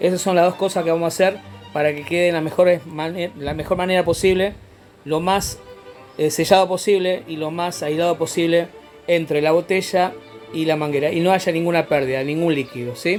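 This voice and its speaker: Music plays in the background as a man with a high pitch speaks in fairly even intonation. He leaves long, frequent pauses. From Rosario, Argentina. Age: 40s. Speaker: amateur meteorologist. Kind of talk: DIY science tutorial. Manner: casual, explanatory.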